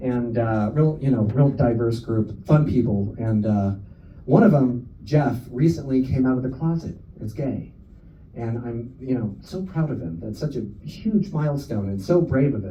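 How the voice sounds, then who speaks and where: With an American accent, a man of medium pitch sounds somewhat breathy and lively in intonation, speaking at a moderate pace with audible room echo. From California, San Francisco area. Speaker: stand-up comedian. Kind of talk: stand-up. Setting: stage with audience. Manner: casual, filler-heavy.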